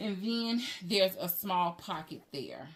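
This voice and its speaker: A woman with a plain, everyday voice, at a fairly slow pace, with ordinary pitch variation. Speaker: handbag reviewer, YouTuber. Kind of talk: product review tutorial. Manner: casual, conversational.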